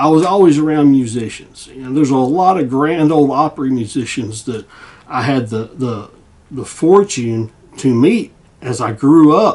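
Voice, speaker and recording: In a Southern US accent, a man speaks at a fairly high pitch with ordinary pitch variation. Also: moderate pace. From US South, Tennessee. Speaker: guitar repair hobbyist and YouTuber. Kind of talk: casual vlog chat. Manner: halting, repetitive fillers.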